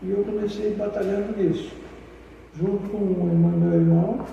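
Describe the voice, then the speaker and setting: Noticeable background noise and audible room echo surround a man speaking at a moderate pace in a high pitch. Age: 80s+. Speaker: founder of a cultural space. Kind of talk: interview. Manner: halting.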